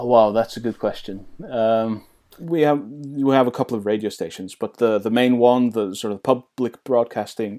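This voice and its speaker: A man with a Faroese accent speaks at a medium pitch in a dark, mellow tone with ordinary pitch variation, recorded very cleanly against a silent background. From Faroe Islands. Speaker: interviewee, local resident. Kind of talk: interview.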